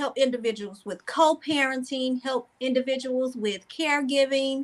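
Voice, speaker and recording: A woman talks at a moderate pace in a high voice. Her intonation stays fairly even. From US South, North Carolina (near Charlotte). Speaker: life coach and social worker. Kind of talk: interview.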